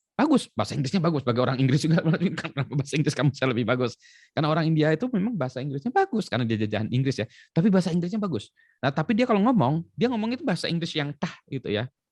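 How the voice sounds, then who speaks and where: A man with an Indonesian accent talks at a very fast pace and fairly high pitch, his pitch swinging very widely, in a dry, close sound with no echo. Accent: Indonesian accent when speaking English. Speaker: education expert. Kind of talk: talk show conversation.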